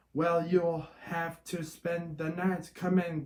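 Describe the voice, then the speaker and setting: In a put-on character voice, a man growls at a very slow pace with a high pitch and monotone, flat intonation. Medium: read story. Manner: gruff.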